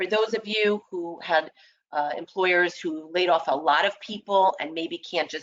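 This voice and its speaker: A woman talks at a moderate pace with fairly low pitch. She has an ordinary speaking voice. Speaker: employment lawyer. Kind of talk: webinar presentation. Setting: online webinar.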